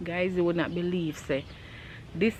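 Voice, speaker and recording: The speaker talks at a moderate pace with a Jamaican accent. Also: woman. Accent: Jamaican, speaks with thumb-sucking trace. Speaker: vlogger. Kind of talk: storytime. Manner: animated.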